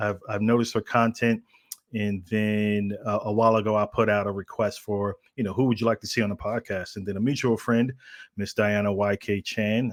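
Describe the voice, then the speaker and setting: A man talks fairly quickly at medium pitch. The recording is very clean and dry, with a silent background and no echo. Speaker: podcast host. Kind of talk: podcast interview. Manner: monotone.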